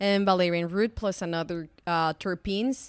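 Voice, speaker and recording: Her pitch is fairly low and her intonation fairly even. The woman speaks with a Spanish accent. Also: very clean recording, silent background. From Mexico, Guadalajara. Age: 30s. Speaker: chemist and startup founder. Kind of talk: interview.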